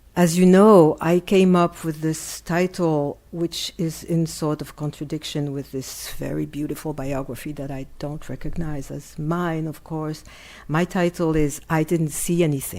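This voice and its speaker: A woman with a French accent speaks in a very deep, low pitch with a dark, mellow tone. Her pace is fairly slow and her intonation fairly even. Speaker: art critic and lecturer. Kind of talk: lecture. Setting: lecture hall with audience.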